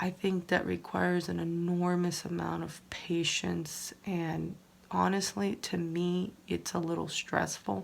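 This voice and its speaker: The woman is soft-spoken and talks at a fairly slow pace. The recording is very clean, with a silent background. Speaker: crafting YouTuber. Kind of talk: casual tutorial. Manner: soft-spoken, low volume; hesitant, many fillers.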